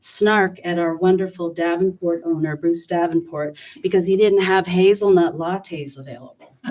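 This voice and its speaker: A woman with a fairly low pitch uses an ordinary speaking voice, keeping a moderate pace and fairly even intonation. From western New York. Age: 60s. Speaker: public commenter, resident. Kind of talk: public comment at town meeting. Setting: town board meeting.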